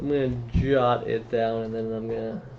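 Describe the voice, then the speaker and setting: Audible room echo follows a man talking with an American accent. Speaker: streamer. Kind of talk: casual chat. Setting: live stream. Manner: halting.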